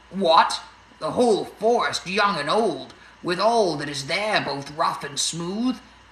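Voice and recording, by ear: A text is read aloud. The voice sounds natural.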